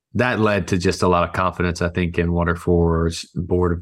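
A man with a very deep, low voice speaks in an American accent on a very clean recording with a silent background. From US South, rural Alabama. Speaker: nonprofit CEO. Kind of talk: interview.

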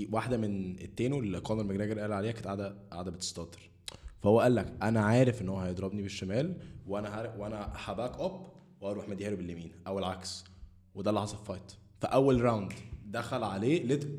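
A man with a dark, mellow tone speaks amid audible room echo. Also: fairly low pitch for a man, ordinary pitch variation, fairly quick pace. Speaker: podcast host. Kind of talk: casual chat.

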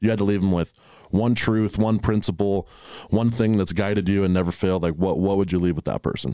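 A man speaks at a fairly quick pace with a fairly low pitch and a dark, mellow tone. His intonation is fairly even, his loudness very even, and the recording very clean with a silent background. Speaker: podcast host. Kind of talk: casual chat.

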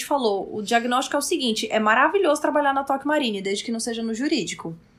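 A woman speaks with a high pitch and lively intonation. Her tone is animated. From Brazil, Roraima. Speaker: style consultant. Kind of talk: casual interview chat.

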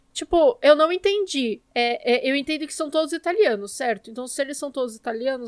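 Words come at a fairly quick pace. The recording is very clean, with a silent background. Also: woman. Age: 20s. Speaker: podcast host. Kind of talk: casual chat.

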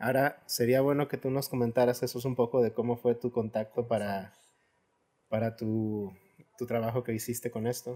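Dark and mellow in tone, a man's voice holds a medium pitch. He speaks at a moderate pace in a monotone, with flat intonation. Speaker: writer. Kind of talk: casual chat.

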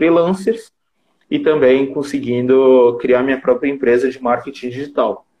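Ordinary pitch variation and a moderate pace in a man's voice of medium pitch. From Japan (Brazilian community). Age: 20s. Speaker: digital marketer and live-stream host. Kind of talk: casual live-stream chat. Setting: live stream video call.

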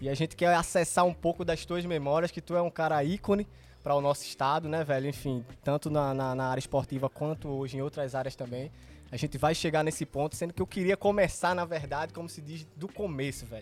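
A man talks fairly quickly in a plain, everyday voice, pitched fairly high, with ordinary pitch variation. The recording is very clean, with a silent background. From Pernambuco, Brazil. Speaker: podcast host. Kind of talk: casual chat. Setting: outdoors in a garden.

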